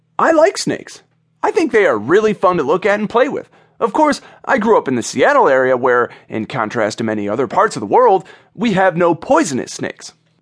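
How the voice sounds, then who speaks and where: Over a quiet background, the speaker talks at a fairly quick pace in an animated tone. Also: man. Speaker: audiobook narrator. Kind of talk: audiobook narration of a devotional, with a personal anecdote. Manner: animated, storytelling tone that builds to a punchline; warm and sincere, turning reverent in the closing prayer.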